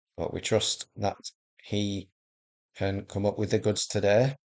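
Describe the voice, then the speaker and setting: A man with a Yorkshire accent talks in a fairly low pitch and fairly even intonation. The sound is dry and close with no echo, against a quiet background. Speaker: gaming video creator. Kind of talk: gameplay commentary. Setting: home recording, early morning. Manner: casual, hesitant with fillers.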